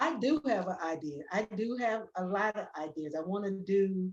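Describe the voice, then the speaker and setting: A woman talks at a fairly slow pace in a plain, everyday voice. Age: 60s. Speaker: painter and muralist, artist in residence. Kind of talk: artist talk, personal testimony. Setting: virtual event. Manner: emotional, repetitive.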